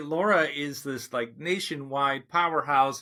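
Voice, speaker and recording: At a fairly slow pace, a man speaks in a normal speaking voice with a fairly high pitch. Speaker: podcast host. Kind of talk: podcast interview conversation.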